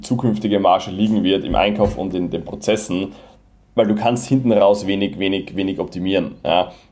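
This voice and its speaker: Over noticeable background noise, a man speaks at a fairly quick pace with a slight Viennese accent. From Vienna, Austria. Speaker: Amazon seller. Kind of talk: casual interview.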